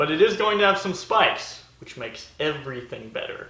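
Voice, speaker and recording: Noticeable background noise and audible room echo around a man's high voice with ordinary pitch variation. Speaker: DIY maker video host. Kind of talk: workshop tutorial. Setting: home workshop.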